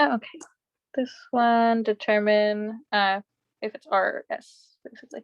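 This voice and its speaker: A woman in a normal speaking voice talks at a fairly slow pace, her loudness swinging widely while her pitch varies in an ordinary way. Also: fairly high pitch for a woman. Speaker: student tutor leading exam review. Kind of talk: study group tutoring session. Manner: casual, filler-heavy.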